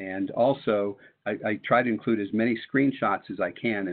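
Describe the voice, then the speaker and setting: A man talks in a plain, everyday voice. His pitch is fairly low, with ordinary pitch variation. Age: 60s. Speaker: retired math teacher and webinar presenter. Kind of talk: webinar presentation. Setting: online webinar.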